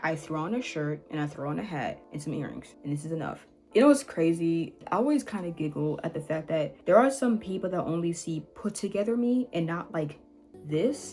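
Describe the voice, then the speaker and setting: Over music in the background, a woman with a fairly low voice talks at a fairly quick pace with lively intonation. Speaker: YouTuber. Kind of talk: rant to camera. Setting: home recording with ring light.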